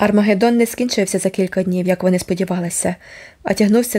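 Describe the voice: Someone doing plain reading aloud.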